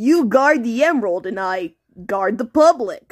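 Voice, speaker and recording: A female-sounding put-on character voice with a fairly high pitch talks at a fairly slow pace on a very clean recording with a silent background. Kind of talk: goofy fan comic dub. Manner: earnest, confessional.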